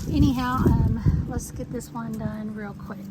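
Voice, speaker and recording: In a room with audible echo and noticeable background noise, a woman talks with a Texas accent. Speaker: home gardener vlogger. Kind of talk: gardening tutorial. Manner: casual, hesitant with fillers.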